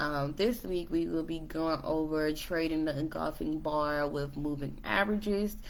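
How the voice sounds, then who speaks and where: With audible room echo, a woman speaks at a moderate pace in a very deep, low voice with ordinary pitch variation. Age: 20s. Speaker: trading educator. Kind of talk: tutorial. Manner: hesitant, many fillers.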